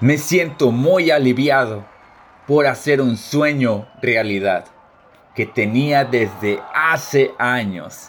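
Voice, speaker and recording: A man speaks at a very slow pace. His pitch is medium with ordinary variation. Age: 20s. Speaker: soldier. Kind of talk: scripted first-person narration.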